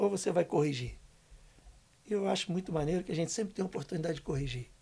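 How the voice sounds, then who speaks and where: Talking at a very fast pace, a man has a high pitch with ordinary variation. His tone is dark and mellow. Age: 60s. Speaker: guest speaker, community worker. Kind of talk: casual podcast interview. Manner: animated.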